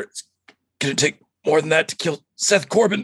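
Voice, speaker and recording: Putting on a wheezy character voice at a high pitch, a man speaks at a moderate pace. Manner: wheezing, muttering.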